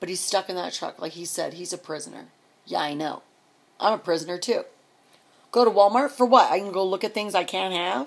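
A woman talks at a fairly quick pace with ordinary pitch variation. She leaves long, frequent pauses, and her loudness swings widely. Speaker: vlogger and truck driver's wife. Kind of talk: angry personal rant to camera, venting about her absent husband. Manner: indignant, escalating, sarcastic rhetorical questions; rambling, repetitive and exasperated. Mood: angry, frustrated. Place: home room. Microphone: phone near.

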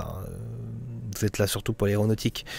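At a very fast pace, a man speaks in a fairly low voice with a dark, mellow tone. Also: dry sound with no echo. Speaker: gaming YouTuber; flight sim streamer. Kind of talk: casual vlog monologue. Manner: hesitant, many fillers. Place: home room. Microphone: studio condenser mic; studio mic.

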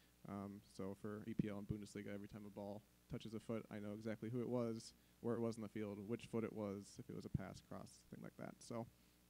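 Delivered at a very fast pace, the voice has a dark, mellow tone and a monotone, flat intonation. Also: man, fairly low pitch for a man. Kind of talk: conference presentation. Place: hall.

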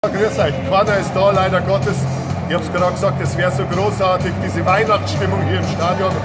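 A man speaks at a fairly quick pace against loud background noise. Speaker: stadium announcer. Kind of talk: casual Christmas greeting to camera. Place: stadium. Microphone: phone near.

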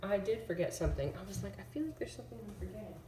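A woman at a fast pace, bright and sharp in tone, with audible room echo.

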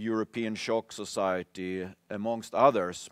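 A man talks at a fairly slow pace, his pitch fairly low and his intonation monotone and flat. The background is quiet and the sound is dry, with no echo. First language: Swedish. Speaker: symposium chair; symposium moderator. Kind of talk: conference moderation. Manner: halting. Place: stage.

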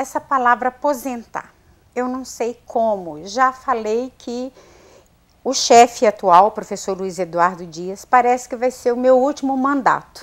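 Against a quiet background, a woman with a high pitch speaks very slowly, her loudness swinging widely. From Minas Gerais, Brazil (Viçosa); Minas Gerais, Brazil. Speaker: university administrative staff member; guest. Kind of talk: TV interview. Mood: warm, grateful, reflective. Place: studio. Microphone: lapel.

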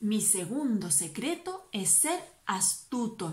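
An unforced reading voice is heard throughout.

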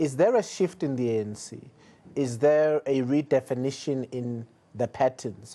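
A man speaks at medium pitch with a dark, mellow tone and ordinary pitch variation. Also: fairly slow pace. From South Africa. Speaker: interview show host; TV interviewer. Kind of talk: political interview. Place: studio.

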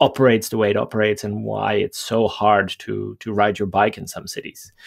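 Over a quiet background, a man with a Dutch accent speaks at a moderate pace in a fairly low pitch. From Netherlands. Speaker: mobility planning guest. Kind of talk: interview. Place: home room. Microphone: headset.

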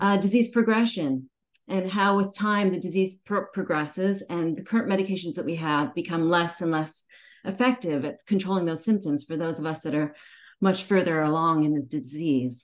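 Over a quiet background, a woman with a normal speaking voice talks at a fairly low pitch and a moderate pace, with ordinary pitch variation. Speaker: remote conference presenter. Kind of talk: presentation talk. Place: home room. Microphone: video call.

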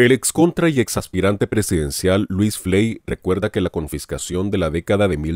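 A man's low voice with a slightly mellow tone and lively intonation at a moderate pace, dry and close with no echo, on a very clean recording with a silent background

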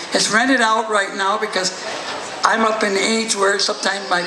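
Over noticeable background noise, a man speaks at a moderate pace in a raised, projected voice. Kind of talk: acceptance speech telling family history. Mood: proud, heartfelt. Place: tent. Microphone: podium.

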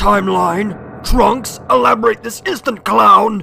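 Raspy and fairly high, a put-on character voice moves at a fairly slow pace. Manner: arrogant, gruff.

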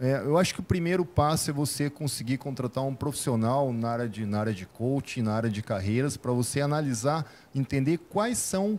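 With lively intonation, a man speaks in an unremarkable speaking voice. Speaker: businessman, sales expert; sales expert. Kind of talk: interview. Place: studio. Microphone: handheld.

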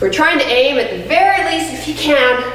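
A woman's high voice at a moderate pace with ordinary pitch variation, with audible room echo and light background noise. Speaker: personal trainer. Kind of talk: fitness workout instruction. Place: gym.

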